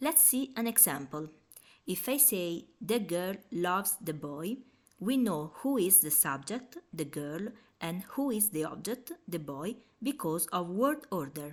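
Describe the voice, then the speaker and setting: With an Italian accent, a woman talks at a fairly slow pace and medium pitch, her pitch swinging very widely. The recording is very clean and the background silent. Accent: Italian accent, noticeable. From Italy. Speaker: language teacher. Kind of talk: tutorial.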